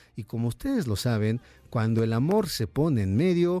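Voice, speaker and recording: A man speaking at a moderate pace with music in the background. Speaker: radio host. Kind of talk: radio dj patter, live music-and-chat show banter. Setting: live radio studio. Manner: animated, upbeat, chatty and warm.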